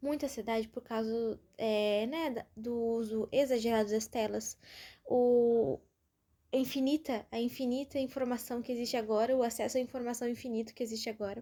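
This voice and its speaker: In a Brazilian accent, a woman talks at a moderate pace with a dark, mellow tone, fairly high pitch and fairly even intonation, on a very clean recording with a silent background. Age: 20s. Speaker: podcaster. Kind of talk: casual monologue. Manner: informal, chatty.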